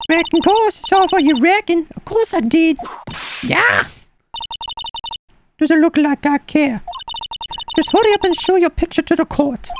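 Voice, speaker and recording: A man's put-on character voice at an extremely high pitch, moderate pace, long and frequent pauses. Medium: game stream. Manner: brash, folksy.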